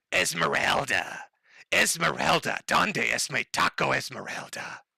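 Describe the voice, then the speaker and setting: A man talks in a put-on character voice, raspy and very deep in pitch. His pace is fairly slow. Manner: strained, calling out.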